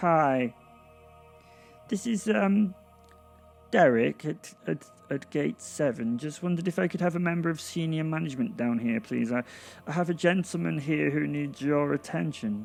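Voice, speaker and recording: In a squeaky, shaky, put-on character voice, the speaker uses lively intonation and a nervous tone at a moderate pace with long, frequent pauses, while music plays faintly in the background. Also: man, fairly high pitch for a man. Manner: nervous, trembling.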